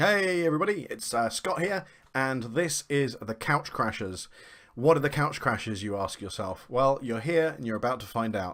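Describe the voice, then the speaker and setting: A man speaks with a British accent at a medium pitch. His pace is moderate, and his pitch swings very widely. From UK. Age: 40s. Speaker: gaming vlogger. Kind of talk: casual vlog intro.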